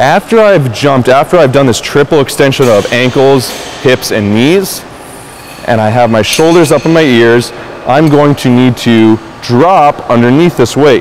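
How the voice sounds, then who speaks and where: Over light background noise, a man with a medium pitch speaks at a moderate pace with ordinary pitch variation. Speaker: fitness instructor. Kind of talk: tutorial; coaching cues. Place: gym.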